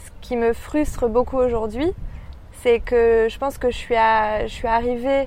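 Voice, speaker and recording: The speaker is a woman with a high pitch. She goes at a very slow pace. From France, Paris. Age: 20s. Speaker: marketing professional, expatriate. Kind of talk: interview. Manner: hesitant, many fillers.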